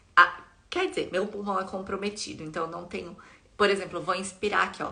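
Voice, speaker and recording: A woman talks at a fairly quick pace, with audible room echo around her. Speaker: content creator sharing life with quadriplegia. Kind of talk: live stream chat with viewers. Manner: warm, chatty.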